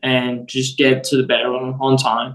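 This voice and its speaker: A man with a Spanish accent speaks very slowly at a medium pitch. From Venezuela. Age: 18. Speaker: baseball prospect. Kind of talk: interview. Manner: halting.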